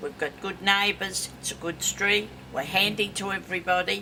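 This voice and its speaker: The speaker has an Australian accent and a moderate pace. Noticeable background noise runs underneath. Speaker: local resident. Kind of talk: interview.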